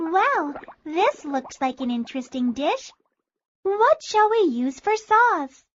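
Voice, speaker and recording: A female-sounding, put-on character voice goes squeaky at an extremely high pitch, swinging very widely in pitch at a fairly slow pace. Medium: read story. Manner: imperious, curt.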